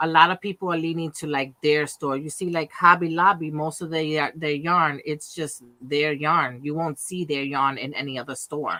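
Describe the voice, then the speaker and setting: A woman with a New York accent speaks in a very deep, low pitch. Her tone is bright and sharp, with hardly any pauses. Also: fairly even intonation, moderate pace. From Brooklyn, New York City. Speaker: crochet and knitting crafter. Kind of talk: casual chat.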